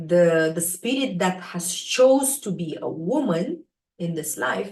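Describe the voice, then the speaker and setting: A woman speaks at a medium pitch, somewhat breathy, her pitch swinging very widely. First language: not English. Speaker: spiritual teacher, astrology live host. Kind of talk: live stream talk. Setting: live stream on social media. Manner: hesitant, many fillers.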